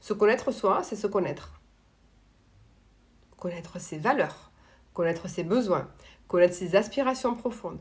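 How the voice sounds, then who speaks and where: A woman talks fairly slowly at a medium pitch with ordinary pitch variation. She leaves long, frequent pauses. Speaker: coach on emotional dependence. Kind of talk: live stream talk answering viewers. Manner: loud.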